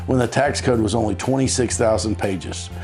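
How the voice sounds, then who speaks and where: Over music in the background, a man with an American accent talks in an upbeat tone. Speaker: tax attorney. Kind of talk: informational explainer to camera. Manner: friendly, upbeat, conversational.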